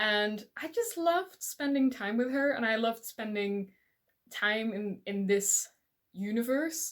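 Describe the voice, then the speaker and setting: A woman's fairly slow speech in a non-native accent, with lively intonation. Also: fairly high pitch for a woman. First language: not English. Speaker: book reviewer. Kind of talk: casual vlog talk. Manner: hesitant, with repetitions.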